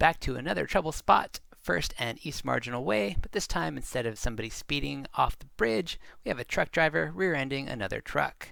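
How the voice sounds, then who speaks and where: With a bright, sharp tone and some vocal fry, a man talks at a moderate pace, his pitch swinging very widely. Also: very clean recording, silent background. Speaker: traffic video narrator. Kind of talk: wry documentary narration.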